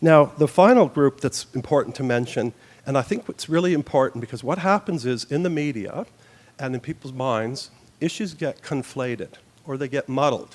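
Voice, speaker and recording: A man in a Canadian accent, with a plain, everyday voice, talks at a moderate pace with fairly high pitch and ordinary pitch variation. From Canada. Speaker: youth justice expert. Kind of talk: forum presentation.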